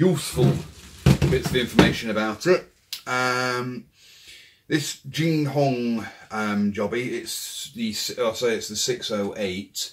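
A man at a very slow pace, ordinary pitch variation, and noticeable background noise. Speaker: airsoft hobbyist reviewer. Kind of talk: casual product review. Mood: relaxed, unhurried. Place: kitchen. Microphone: camera far.

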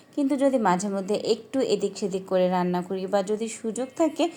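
A woman speaks with fairly high pitch, a dark, mellow tone and lively intonation. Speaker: cooking vlogger. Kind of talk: voice-over cooking tutorial. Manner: unnatural, put-on voice-over tone.

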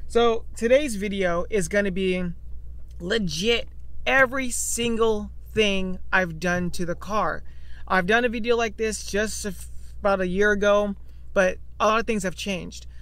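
A man at a fairly slow pace, the sound dry with no echo. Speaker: car owner vlogger. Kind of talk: casual vlog chat. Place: car. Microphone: phone near.

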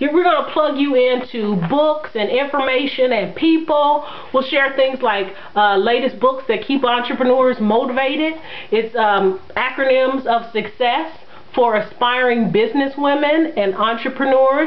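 With faint background noise, a woman speaks fairly slowly at a high pitch, using ordinary pitch variation and few pauses.

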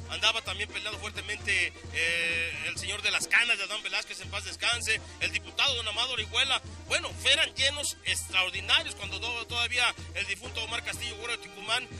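A man talking fairly quickly, dry with no echo, clear music in the background. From Mexico. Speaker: rodeo announcer. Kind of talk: interview answer. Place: open country. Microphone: handheld.

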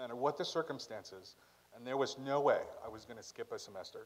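A man at a medium pitch speaks at a fairly quick pace. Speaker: undergraduate student speaker; speaker. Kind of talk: commencement speech. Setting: stage with audience. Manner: humorous, self-deprecating. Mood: emotional, wipes eye. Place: hall. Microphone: podium.

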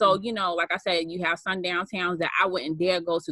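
A woman's bright, sharp, fairly low voice with an American accent, dry with no echo over a quiet background. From Boston, Massachusetts. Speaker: social worker. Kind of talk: casual interview. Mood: earnest, serious. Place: home room. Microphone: webcam.

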